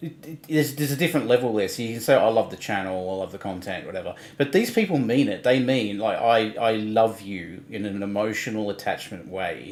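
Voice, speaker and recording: Very fast speech from a man comes with big swings in loudness. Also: medium pitch for a man, ordinary pitch variation. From Australia. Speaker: livestream co-host. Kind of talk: casual chat.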